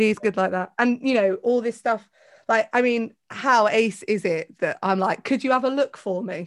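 In a very clean recording with a silent background, a woman with a southern English accent speaks at a moderate pace in a fairly high voice. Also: ordinary pitch variation. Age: 40s. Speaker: podcaster and presentation coach. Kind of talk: casual chat.

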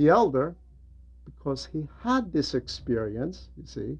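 A man speaks at a fairly slow pace in a fairly high voice with big pitch swings. His slightly mellow tone carries some vocal fry.

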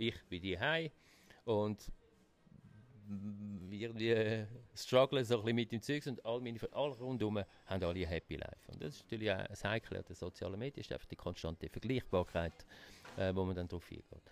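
A man with a Swiss accent speaks at a moderate pace. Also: fairly low pitch for a man, ordinary pitch variation, big swings in loudness. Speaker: magazine publisher. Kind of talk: interview conversation.

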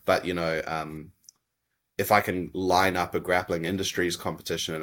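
Very deep and low in pitch, a man with a New Zealand accent talks at a fairly slow pace with monotone, flat intonation in a very clean recording with a silent background. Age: 30s. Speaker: jiu-jitsu athlete and coach. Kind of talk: podcast interview.

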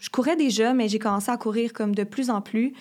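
At a moderate pace, a woman speaks in a fairly high pitch on a very clean recording with a silent background. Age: 20s. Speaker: university student. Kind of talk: personal testimony.

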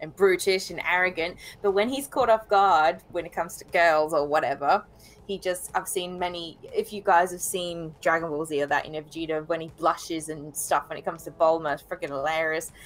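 A woman with an Australian accent speaks at a fairly quick pace and fairly low pitch, with ordinary pitch variation and big swings in loudness. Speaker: anime blogger guest. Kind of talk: casual chat.

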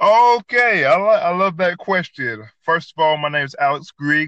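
A man's bright, sharp voice with a Southern US accent and lively intonation, dry and close with no echo. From US South, north Georgia. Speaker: podcaster and cook. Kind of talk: casual chat. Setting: app call with random co-host. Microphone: poor internet connection.

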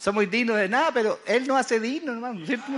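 A man speaks in an animated tone at an extremely high pitch. His pitch variation is ordinary. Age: 80s+. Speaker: guest preacher. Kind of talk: sermon.

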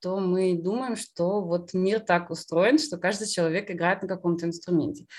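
A woman with an unremarkable speaking voice, fairly low in pitch, at a fairly slow pace. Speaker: concert pianist. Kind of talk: interview conversation.

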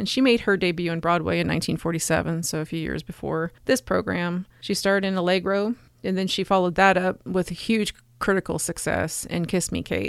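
A woman with a normal speaking voice, fairly low pitch, fairly even intonation and a moderate pace. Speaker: old-time radio podcast host. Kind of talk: casual podcast introduction.

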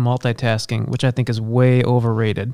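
Dry and close with no echo, the recording catches a man with an unremarkable speaking voice at medium pitch, talking at a fairly quick pace. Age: 40s. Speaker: minister. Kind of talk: casual chat.

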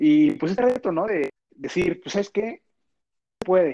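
Animated in tone, a man speaks with a high pitch. The sound is dry and close, with no echo. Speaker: podcast co-host. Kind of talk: casual chat.

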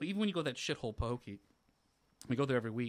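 Very clean and silent behind him, the recording captures a man with an American accent speaking very fast at a medium pitch, his pitch swinging very widely. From Florida. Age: 30s. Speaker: podcast co-host. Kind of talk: casual chat.

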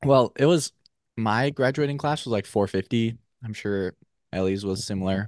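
A man with an American accent uses a normal speaking voice at a moderate pace and medium pitch, with ordinary pitch variation, recorded dry and close with no echo against a quiet background. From Minnesota. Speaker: podcast guest. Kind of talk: casual chat.

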